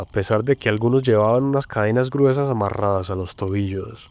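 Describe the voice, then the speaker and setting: This man speaks with an Antioquian accent at a medium pitch. His pace is fairly slow. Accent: paisa Colombian. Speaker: storyteller. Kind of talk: scripted narration. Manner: dramatic.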